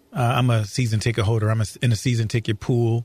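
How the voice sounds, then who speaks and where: On a very clean recording with a silent background, a man with an American accent and medium pitch speaks somewhat breathy, fairly quickly and in a monotone, flat intonation. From St. Louis area, Missouri. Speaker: county prosecutor. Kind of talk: interview. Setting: studio.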